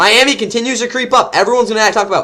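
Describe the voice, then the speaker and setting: A man with an American accent, a high pitch and a raised, projected voice, with an animated, bright, sharp tone at a fairly quick pace. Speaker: sports YouTuber. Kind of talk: casual commentary monologue. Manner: fast.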